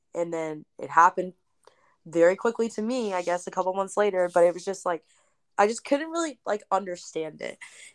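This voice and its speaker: On a very clean recording with a silent background and a dry, close sound with no echo, a woman speaks with an unremarkable speaking voice at a medium pitch and with ordinary pitch variation. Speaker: podcast co-host. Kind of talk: casual chat.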